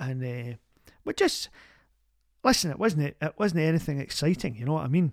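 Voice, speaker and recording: A woman with a Glaswegian accent has a very deep, low pitch and a warm tone. She talks at a fairly quick pace with lively intonation and long, frequent pauses. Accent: Glaswegian Scottish. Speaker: community radio advice show host. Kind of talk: phone-in advice show. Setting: studio. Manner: warm, chatty.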